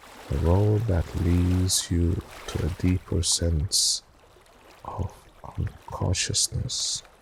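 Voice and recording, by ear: Slow, soothing and calm delivery with fairly even intonation, vocal fry and a husky, rough edge. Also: man, low pitch for a man.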